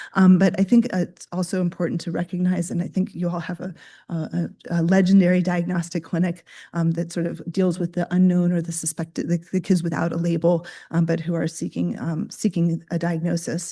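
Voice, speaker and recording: Against a quiet background, a woman speaks at a fairly quick pace in a fairly low pitch, her somewhat breathy voice dark and mellow in tone with monotone, flat intonation. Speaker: pediatrician and researcher. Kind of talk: lecture. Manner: halting, many fillers.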